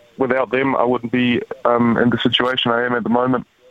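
Noticeable background noise sits behind a monotone, flat intonation. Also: man. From Germany (Frankfurt). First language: German. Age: 20s. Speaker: rugby player. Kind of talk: interview. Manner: hesitant with fillers.

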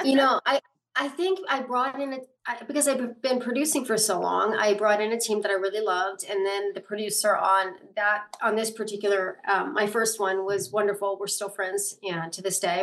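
Medium pitch and ordinary pitch variation from a woman. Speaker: actor and director. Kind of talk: interview. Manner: soft-spoken; fast.

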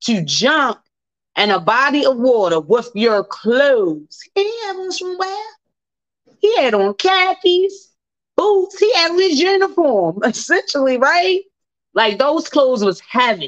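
Loud speech with very wide pitch swings at a fairly slow pace. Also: woman, high pitch for a woman. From Baltimore, US. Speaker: radio host. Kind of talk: casual talk show monologue. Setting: live radio broadcast. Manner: loud, animated.

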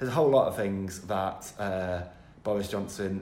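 The voice has a tired tone. It moves at a moderate pace. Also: man. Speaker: political editor. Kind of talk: casual chat.

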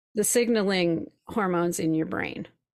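A woman with an American accent and an unremarkable speaking voice, fairly low in pitch with ordinary variation, at a fairly slow pace on a very clean recording with a silent background. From Minnesota, Twin Cities. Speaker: spiritual coach. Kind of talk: interview storytelling.

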